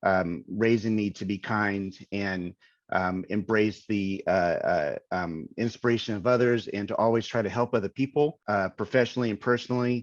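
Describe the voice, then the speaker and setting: With an American accent, a man talks at a moderate pace and a fairly low pitch. His pitch varies in an ordinary way, and the background is quiet. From US South, North Carolina. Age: 50s. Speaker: visual effects supervisor. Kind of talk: interview. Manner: halting, many fillers.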